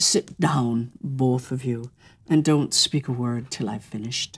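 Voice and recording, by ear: In a put-on character voice, the speaker keeps a low-to-middle pitch at a fairly slow pace.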